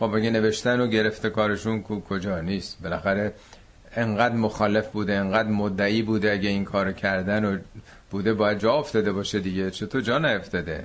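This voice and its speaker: At a fairly quick pace, a man with a normal speaking voice talks in a fairly low pitch with fairly even intonation. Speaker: Quran teacher. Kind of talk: lecture. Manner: conversational.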